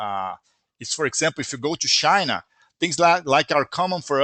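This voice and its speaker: With a bright, sharp tone, a man talks at a moderate pace in a fairly high pitch. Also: dry, close sound with no echo. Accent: Brazilian. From Brazil. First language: Brazilian Portuguese. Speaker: software company founder. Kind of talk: live webinar Q&A.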